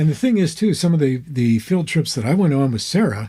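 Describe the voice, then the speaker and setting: With an American accent, a man speaks in a fairly high pitch with a dark, mellow tone. His voice is somewhat breathy, his intonation lively and his pace moderate. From United States. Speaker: former radio DJ, father of the host. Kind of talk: interview answer, casual conversation.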